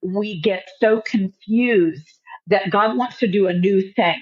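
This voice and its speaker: A woman talks at a fairly slow pace in an unremarkable speaking voice. Her pitch sits at a medium level with ordinary variation. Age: 60s. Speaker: author and minister. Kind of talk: podcast interview. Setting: studio.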